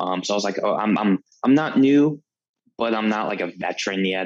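This man has an unremarkable speaking voice, fairly low in pitch with ordinary pitch variation. He talks at a fairly quick pace. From Florida, St. Pete / Tampa area. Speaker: Air Force veteran. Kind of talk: casual chat.

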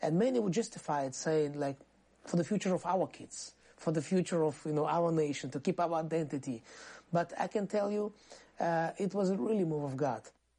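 In a dark, mellow tone, a woman with a fairly low pitch speaks at a fairly quick pace. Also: ordinary pitch variation. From Crimea, Soviet Union. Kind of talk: interview testimony.

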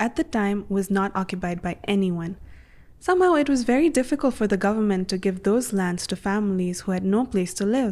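Over a silent background in a very clean recording, a woman with a dark, mellow tone and medium pitch speaks at a moderate pace. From Colombia, Caribbean coast (Monteria). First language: Spanish. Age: 20s. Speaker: youth leader. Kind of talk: interview. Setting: on location.

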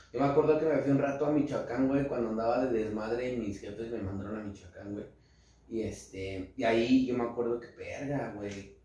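Talking at a fairly quick pace, a man with a medium pitch and ordinary pitch variation swings widely in loudness, with noticeable background noise and audible room echo. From central Mexico. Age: 20s. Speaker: rapper. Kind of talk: casual chat.

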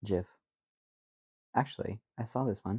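A man's medium-pitched, somewhat breathy voice has a dark, mellow tone and a dry, close sound with no echo. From rural area. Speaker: podcast co-host. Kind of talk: casual chat. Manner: animated.

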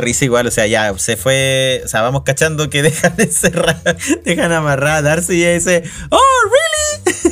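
Over noticeable background noise, a man with a Chilean accent talks at a moderate pace with lively intonation. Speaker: podcast co-host. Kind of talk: casual chat.

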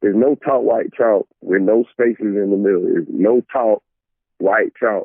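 A man talks at a moderate pace. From Ohio and Georgia (Cleveland, south Georgia). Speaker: rapper. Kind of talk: casual chat.

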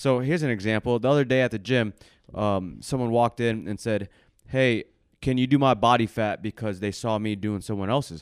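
A normal speaking voice moves at a fairly quick pace with ordinary pitch variation, the sound dry and close with no echo. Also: man, medium pitch for a man. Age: 20s. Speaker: personal trainer and podcast co-host. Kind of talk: casual chat. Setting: live podcast.

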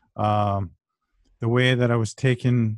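Against a quiet background with a dry, close sound and no echo, a man in a normal speaking voice talks at a fairly slow pace with fairly even intonation. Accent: Canadian. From Ontario, Canada (Brampton). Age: 40s. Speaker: author and history scholar. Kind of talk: interview conversation.

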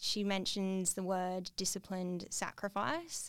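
The intonation is monotone and flat. The recording is very clean, with a silent background. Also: woman. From Australia, Perth. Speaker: UX specialist. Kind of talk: casual interview.

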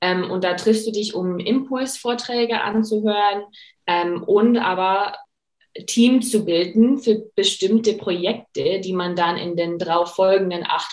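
In an English accent, a woman with a medium pitch talks at a very slow pace. Her pitch varies in an ordinary way. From USA. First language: English (speaking German). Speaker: career coach and master's student. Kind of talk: interview.

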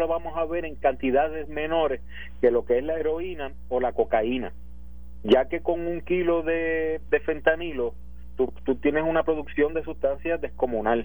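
A man with a Puerto Rican accent talks at a fairly slow pace. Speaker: police commander. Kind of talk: interview. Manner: halting.

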